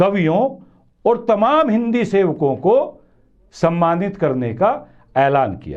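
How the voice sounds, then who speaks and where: The man's voice is high-pitched with a dark, mellow tone. His pitch swings very widely. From western Uttar Pradesh, India. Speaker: news commentary show host. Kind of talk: monologue commentary to camera.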